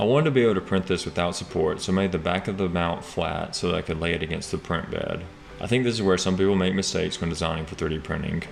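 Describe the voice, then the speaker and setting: A man with a very deep, low pitch talks at a very fast pace against noticeable background noise. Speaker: 3D printing and product design youtuber. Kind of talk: tutorial narration. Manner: monotone. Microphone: small camera shotgun mic, sound worse when held far away.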